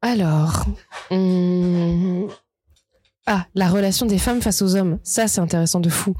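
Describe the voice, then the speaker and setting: With very even loudness and fairly even intonation, a somewhat breathy woman speaks at a medium pitch and a very slow pace, leaving long, frequent pauses. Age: 20s. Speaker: podcast guest. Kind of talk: casual chat.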